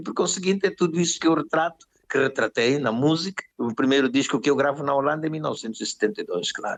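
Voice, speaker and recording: Barely pausing, a man with a fairly high pitch talks at a very fast pace. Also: ordinary pitch variation. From Angola. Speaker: musician. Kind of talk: interview answer.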